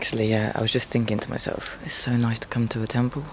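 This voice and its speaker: Over noticeable background noise, a man whispers at a fairly quick pace, the sound dry with no echo. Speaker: traveler. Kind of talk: casual travel vlog narration. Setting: outdoors. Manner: whispered. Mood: calm, appreciative. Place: garden. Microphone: phone near.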